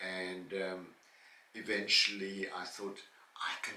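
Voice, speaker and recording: The speech moves at a very slow pace. Room echo is audible, along with noticeable background noise. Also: man. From South Africa. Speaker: vlogger and former singer, teacher and painter. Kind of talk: Q&A monologue. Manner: hesitant with fillers.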